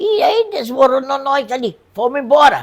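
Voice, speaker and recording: The voice belongs to a woman with a high pitch. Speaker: elderly local resident interviewed. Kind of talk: oral history interview.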